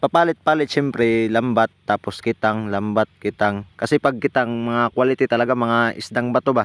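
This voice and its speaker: Over a quiet background, a man with a Visayan accent speaks at a moderate pace and medium pitch, with fairly even intonation, hardly any pauses, very even loudness and a dry, close sound with no echo. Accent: Bisaya accent in Tagalog. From Visayas, Philippines. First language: Bisaya (Cebuano) (speaking Tagalog). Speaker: spearfishing vlogger. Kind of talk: casual vlog narration. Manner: casual, conversational.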